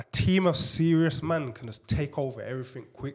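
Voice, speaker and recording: The voice is somewhat breathy, with ordinary pitch variation, in a very clean recording with a silent background. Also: man. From Birmingham, England. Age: 30s. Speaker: property investor. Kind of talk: podcast interview.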